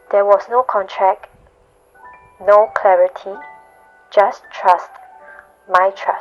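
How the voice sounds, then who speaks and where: A woman at medium pitch speaking at a very slow pace, with music in the background. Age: 20s. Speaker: freelance marketer. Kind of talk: personal reflective narration.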